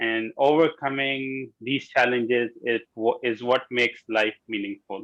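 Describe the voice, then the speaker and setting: Over a quiet background, a man speaks at a very slow pace in a bright, sharp tone. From Saudi Arabia, Riyadh (Pakistani family). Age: 30s. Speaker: finance manager, club member. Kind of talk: prepared speech. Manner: hesitant, many fillers.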